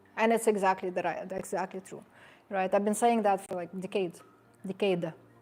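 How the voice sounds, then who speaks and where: A woman speaks with a non-native accent. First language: not English. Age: 50s. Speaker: personal trainer and sports nutritionist. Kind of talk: seminar talk. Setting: seminar with live audience. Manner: animated.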